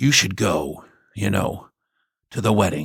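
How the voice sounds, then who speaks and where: Putting on a character voice, a man speaks fairly slowly in a fairly low, raspy pitch with lively intonation. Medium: read story. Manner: easygoing, warm.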